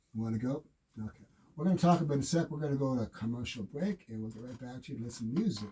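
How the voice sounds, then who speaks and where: A man's medium-pitched, dark and mellow voice, somewhat breathy, at a very fast pace with lively intonation and big swings in loudness. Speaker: radio host and fitness coach. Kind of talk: radio show talk. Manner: animated.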